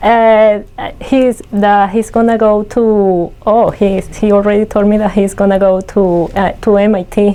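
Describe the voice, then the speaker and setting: Speaking fairly slowly with a non-native accent, a woman keeps a monotone, flat intonation at medium pitch and very even loudness. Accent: foreign. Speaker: business owner. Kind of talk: interview.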